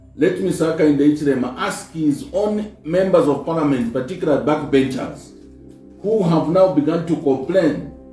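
A man's fairly high voice at a moderate pace, with ordinary pitch variation, audible room echo and faint music in the background. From Zambia. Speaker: politician, party spokesperson. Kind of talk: press briefing statement. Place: office.

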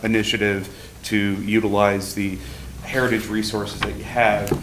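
Moderately paced male speech, fairly low and flat in a monotone, with audible echo from the room. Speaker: archaeology consultant. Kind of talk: presentation to city commission. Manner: loud.

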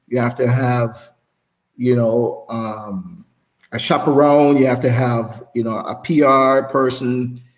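A man with a Jamaican accent at a very slow pace, with fairly even intonation and a quiet background. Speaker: former sprinter; interview guest, former coach. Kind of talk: casual interview. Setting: live stream. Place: home room.

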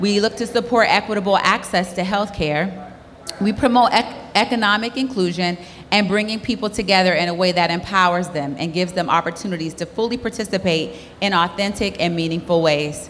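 Over light background noise, a woman talks at a fairly quick pace with ordinary pitch variation. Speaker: corporate sponsor representative. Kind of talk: prepared opening remarks. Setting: stage with audience. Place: hall. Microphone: handheld.

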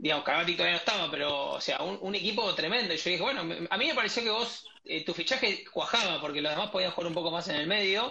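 A man with a Rioplatense accent talks at a very fast pace in a high pitch. His intonation is lively. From Argentina. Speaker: podcast host. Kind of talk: interview. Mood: warm, admiring. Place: home room. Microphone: earbuds.

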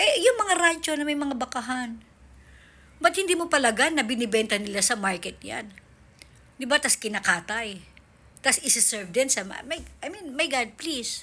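Raised and projected, a woman's high, bright, sharp voice swings very widely in pitch and greatly in loudness while holding a moderate pace. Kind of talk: angry rant. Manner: sarcastic, exasperated and animated, scoffing with rhetorical questions.

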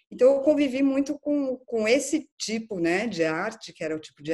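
Against a quiet background, a woman speaks at a moderate pace, her pitch swinging very widely. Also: hardly any pauses, big swings in loudness. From Brazil, São Paulo. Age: 40s. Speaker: art curator; interviewee. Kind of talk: interview. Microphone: video call.

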